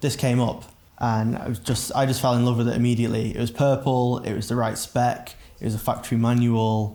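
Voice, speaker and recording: A man with a medium pitch speaks in a dark, mellow tone. His intonation stays monotone and flat. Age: 20s. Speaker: drift car enthusiast. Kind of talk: documentary interview.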